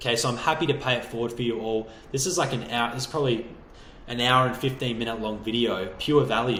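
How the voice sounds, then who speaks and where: A man's energetic, bright, sharp voice at medium pitch and a very fast pace, with an Australian accent and audible room echo. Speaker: online business coach. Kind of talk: motivational video talk.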